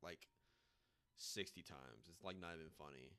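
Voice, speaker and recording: A man speaks with vocal fry. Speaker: video game streamer. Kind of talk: casual live stream chat. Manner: loud.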